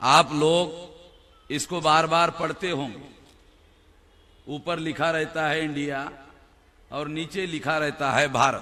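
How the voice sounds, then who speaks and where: Long, frequent pauses break up speech in a Marathi accent. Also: man, fairly high pitch for a man, fairly even intonation. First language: Marathi (speaking Hindi). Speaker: political speaker. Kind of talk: public speech.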